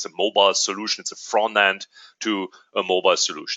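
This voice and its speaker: Using a German accent, a man talks at a moderate pace. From Germany. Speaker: company executive. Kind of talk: webinar presentation. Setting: online webinar. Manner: hesitant, many fillers.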